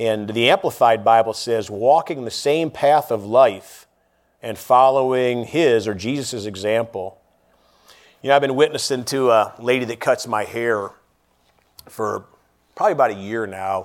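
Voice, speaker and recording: A man talks at a moderate pace in a medium pitch with ordinary pitch variation. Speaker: lay preacher. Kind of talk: sermon. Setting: church. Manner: loud.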